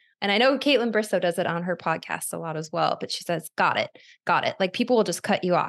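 A woman at a medium pitch, very fast in pace, with ordinary pitch variation and a quiet background. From Arizona. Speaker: podcast host, former reality TV contestant. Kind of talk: casual interview chat.

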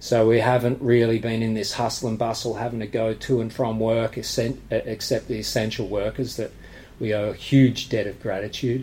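An Australian accent marks this man's somewhat breathy voice, medium in pitch with a dark, mellow tone. His intonation stays monotone and flat at a moderate pace. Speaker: martial arts gym owner. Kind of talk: casual interview. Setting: at the gym.

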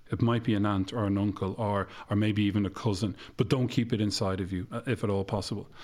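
A man at a very fast pace, fairly low in pitch, monotone with flat intonation, on a very clean recording with a silent background. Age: 40s. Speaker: counsellor. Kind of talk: interview.

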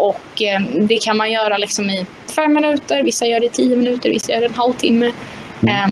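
Talking at a fairly quick pace, a woman uses a fairly high pitch with ordinary variation. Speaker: mental coach and former kart driver. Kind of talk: interview. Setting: live stream.

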